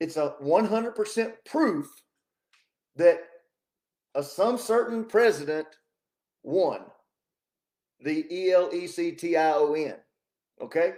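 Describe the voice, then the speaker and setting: A man talks loudly at a fairly slow pace with a high pitch, ordinary pitch variation, and long, frequent pauses. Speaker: political commentary streamer. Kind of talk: casual livestream monologue. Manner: animated.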